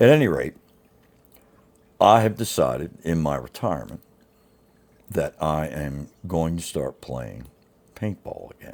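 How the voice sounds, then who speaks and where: Vocal fry and lively intonation in an American accent, at a fairly slow pace. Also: man. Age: 60s. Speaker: YouTuber, retired paintball player. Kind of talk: casual vlog monologue.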